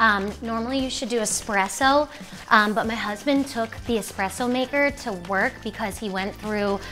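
Faint background music behind a woman, her pace moderate and her pitch varying in an ordinary way. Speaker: cooking show host. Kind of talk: casual cooking tutorial chat. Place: kitchen. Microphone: lapel.

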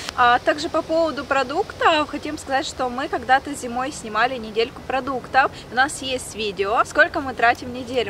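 Noticeable background noise sits behind a woman speaking at a moderate pace with a high pitch and ordinary pitch variation. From Ukraine. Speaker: vlogger. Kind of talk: casual vlog. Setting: outdoors, shopping and beach.

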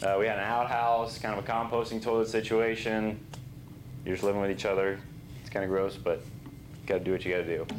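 A man's medium-pitched voice at a very fast pace, with audible room echo and light background noise. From Texas, Dallas-Fort Worth area. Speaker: university student. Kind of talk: class presentation. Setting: classroom. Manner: casual, with frequent fillers. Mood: relaxed, casual. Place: classroom. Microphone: lapel.

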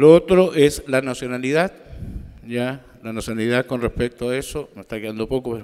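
A man at a moderate pace, with ordinary pitch variation, over a quiet background. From Chile. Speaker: statistics official; presenter. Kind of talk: conference presentation. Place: hall. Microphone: podium.

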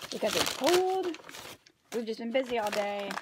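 Against noticeable background noise, a woman's words come at a moderate pace. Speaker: vlogger. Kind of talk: casual mukbang vlog chat. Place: home room. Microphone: phone near.

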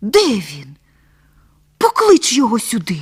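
Using a put-on character voice, a woman talks at a fairly high pitch and a fairly slow pace. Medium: read story. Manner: imperious.

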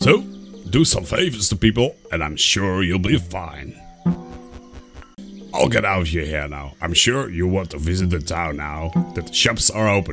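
A man uses a put-on character voice with a very deep, low pitch at a moderate pace. Clear music plays in the background. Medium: role play.

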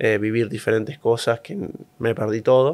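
A man talks in a Rioplatense accent at a fairly quick pace. The background is quiet. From Argentina. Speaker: professional tennis player; interview guest. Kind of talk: interview. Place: studio. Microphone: studio mic.

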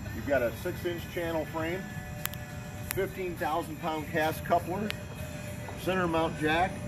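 Someone talks at a fairly slow pace with music playing in the background. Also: man. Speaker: trailer salesman. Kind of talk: product walkaround presentation. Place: street.

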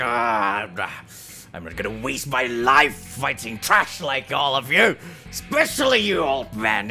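Using a put-on character voice, a man speaks at a medium pitch and fairly slow pace with lively intonation while music plays clearly in the background. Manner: contemptuous, shouting.

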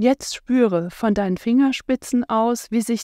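Fairly high-pitched and lively in intonation, a woman speaks at a very slow pace in a soothing, calm tone, the sound dry and close with no echo. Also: very clean recording, silent background. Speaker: meditation guide and osteopath. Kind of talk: guided meditation (Yoga Nidra). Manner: slow, soothing, calm, gentle; unhurried, with long pauses.

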